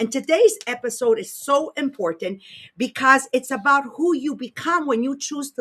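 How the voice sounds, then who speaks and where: In a French Canadian accent, a woman with a high pitch and a bright, sharp tone projects a raised, animated voice with very wide pitch swings, captured in a very clean recording against a silent background. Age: 60s. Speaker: podcast host and leadership coach. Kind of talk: casual chat; motivational talk.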